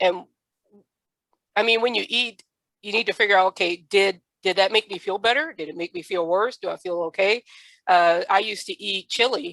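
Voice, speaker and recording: In an American accent, a woman talks at a medium pitch and moderate pace with ordinary pitch variation, big swings in loudness and long, frequent pauses. The sound is dry and close, with no echo. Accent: Southern accent may show. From US South. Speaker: podcast host. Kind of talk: podcast interview.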